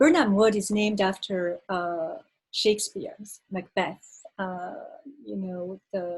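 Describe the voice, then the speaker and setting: In a French accent, the speaker moves at a fairly slow pace and sounds somewhat breathy. Pitch varies in an ordinary way. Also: woman. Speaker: poet. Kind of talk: casual introduction; poetry reading. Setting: video call. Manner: halting, many fillers when talking.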